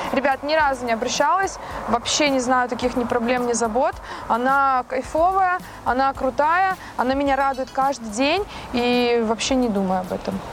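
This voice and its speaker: Over noticeable background noise, a woman talks in a high pitch at a moderate pace. Her loudness stays very even, and her pitch varies in an ordinary way. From Russia, Saint Petersburg. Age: 30s. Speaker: car owner, fitness blogger. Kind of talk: casual interview. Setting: outdoors and in a car. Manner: animated.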